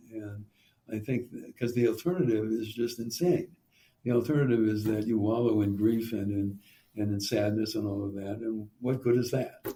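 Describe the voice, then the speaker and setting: With an American accent, a man talks at a moderate pace in a medium-pitched, somewhat breathy voice. His tone is dark and mellow, with ordinary pitch variation. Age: 80s+. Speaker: rabbi and professor. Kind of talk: interview conversation. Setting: podcast. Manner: halting, many restarts and fillers.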